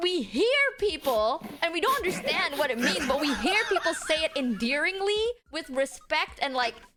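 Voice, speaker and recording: A woman with a high voice speaks at a moderate pace, her tone animated and her pitch swinging very widely. Her loudness stays very even, and there is noticeable background noise. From Indonesia. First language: Indonesian. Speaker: streamer. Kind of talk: casual chat. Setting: live stream with chat.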